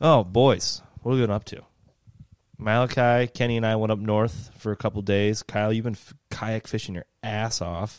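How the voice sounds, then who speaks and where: An ordinary speaking voice with an American accent moves at a moderate pace with fairly even intonation in a very clean recording with a silent background. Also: man, fairly low pitch for a man. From outside Michigan. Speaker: fishing podcast host. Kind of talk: casual chat. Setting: garage.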